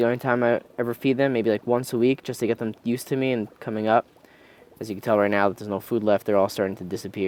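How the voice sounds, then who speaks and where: This man talks at a very fast pace in a medium pitch. His pitch varies in an ordinary way. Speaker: fish-keeping youtuber. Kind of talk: casual video update. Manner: relaxed.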